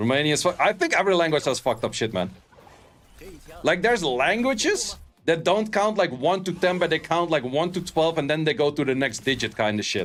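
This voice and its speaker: A man with a Dutch accent, fairly high-pitched, fairly quick, with very even loudness and lively intonation. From Netherlands. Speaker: game streamer. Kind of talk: casual livestream chat. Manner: animated.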